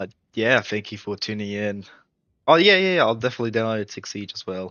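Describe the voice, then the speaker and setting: A man with an Australian accent, fairly low in pitch with ordinary variation, at a fairly quick pace and with big swings in loudness. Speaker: gaming streamer. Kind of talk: casual live stream chat.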